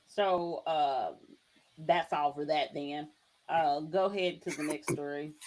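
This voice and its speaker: Very deep and low in pitch, a woman speaks with a Southern US accent. Her pace is very slow and her intonation fairly even. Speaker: podcast co-host. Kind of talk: casual chat.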